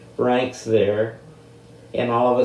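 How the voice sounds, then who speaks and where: A man's flat, monotone voice amid noticeable background noise and audible room echo. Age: 80s+. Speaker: military veteran. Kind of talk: interview.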